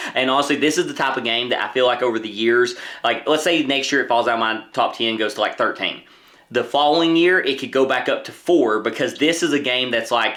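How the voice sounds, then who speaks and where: The voice is loud, with a bright, sharp tone. It moves at a fairly quick pace with ordinary pitch variation. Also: man, medium pitch for a man. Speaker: board game youtuber. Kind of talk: casual chat. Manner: animated.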